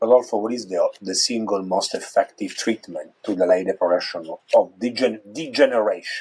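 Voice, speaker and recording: A man speaks with an Italian accent at a moderate pace. He leaves hardly any pauses. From Italy. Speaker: neurologist. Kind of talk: interview.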